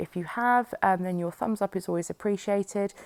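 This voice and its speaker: Speaking at a fairly quick pace with a British accent, the voice keeps a fairly even intonation. The recording is very clean and dry, close with no echo, over a silent background. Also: woman. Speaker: scrapbooking YouTuber. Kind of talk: process video voiceover. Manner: hesitant, many fillers.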